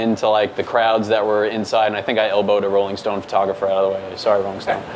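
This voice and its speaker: Against light background noise, a man with an American accent talks in a fairly low pitch with monotone, flat intonation. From New York, Staten Island; New York. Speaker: news photographer; news photographer presenting. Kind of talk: presentation. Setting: meetup with audience. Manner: many fillers (um, uh). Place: hall.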